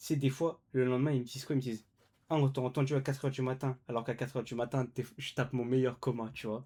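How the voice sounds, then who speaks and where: A man's medium-pitched voice at a very fast pace, dark and mellow in tone, on a very clean recording with a silent background. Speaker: esports caster. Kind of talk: live commentary. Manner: loud; animated.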